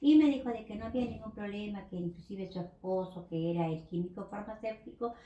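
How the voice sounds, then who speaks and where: A woman's ordinary speaking voice with lively intonation at a moderate pace. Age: 60s. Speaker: pharmacy technician. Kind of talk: interview.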